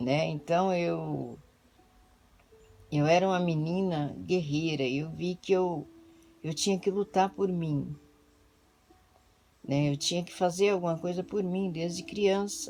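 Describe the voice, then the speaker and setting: Very slow and marked by long, frequent pauses, a woman's fairly low-pitched voice has a dark, mellow tone and fairly even intonation. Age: 60s. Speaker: pastor. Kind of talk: testimony. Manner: halting.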